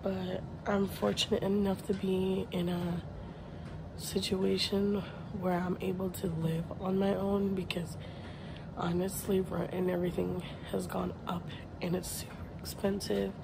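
The pace is fairly slow, with long, frequent pauses and noticeable background noise. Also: woman. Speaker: vlogger. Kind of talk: casual vlog chat. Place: home room. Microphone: phone near.

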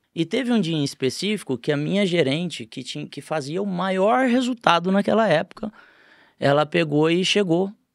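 Against a quiet background, a man with a high pitch speaks at a fairly quick pace with lively intonation, the sound dry with no echo. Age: 40s. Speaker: business owner, franchise group founder; podcast guest. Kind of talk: podcast interview. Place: studio. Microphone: studio mic.

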